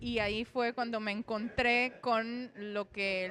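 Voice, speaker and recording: Very slowly, a woman speaks at a fairly high pitch in a bright, sharp tone. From Romania, then Venezuela from age 14. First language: Romanian (speaking Spanish). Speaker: poet. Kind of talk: interview.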